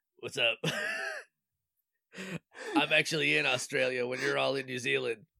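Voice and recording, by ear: A man does a raspy, put-on character voice at medium pitch. He keeps a moderate pace with long, frequent pauses.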